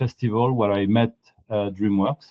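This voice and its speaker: A man speaks with a French accent at a moderate pace. His intonation stays fairly even. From France. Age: 50s. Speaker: animation art director. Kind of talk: interview.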